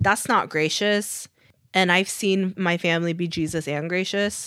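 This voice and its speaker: A plain, everyday voice with a dry, close sound with no echo, very clean recording, silent background. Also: woman. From US (Korean American). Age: 30s. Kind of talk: casual chat.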